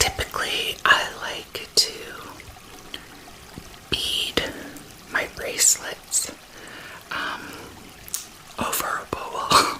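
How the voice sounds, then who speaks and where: A woman whispers at a very slow pace with long, frequent pauses and big swings in loudness. Noticeable background noise is present. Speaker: ASMR creator and healing bracelet maker. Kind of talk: ASMR whispered talk to camera while crafting. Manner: whispered, soft-spoken.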